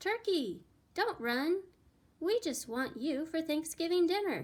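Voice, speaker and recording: A woman does a put-on character voice, squeaky and extremely high-pitched, with lively intonation at a fairly slow pace. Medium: read story. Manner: booming, friendly.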